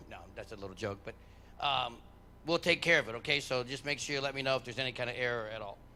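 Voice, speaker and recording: Loud and bright with a sharp tone, a man rattles along at a very fast pace. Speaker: head track coach. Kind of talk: awards ceremony speech.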